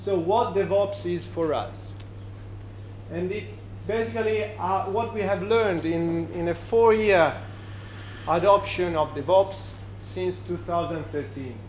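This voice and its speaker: A man with an Italian accent talks at a very slow pace, leaving long, frequent pauses, his fairly high pitch swinging very widely. Room echo is audible over light background noise. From Italy. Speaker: software company representative; conference speaker. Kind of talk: conference talk. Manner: halting. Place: bar.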